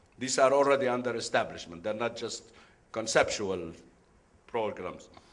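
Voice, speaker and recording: Vocal fry runs through a man's voice at a moderate pace. Audible room echo follows his words. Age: 70s. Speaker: business executive, conference speaker. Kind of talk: conference talk. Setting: conference room with audience. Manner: halting, with many fillers.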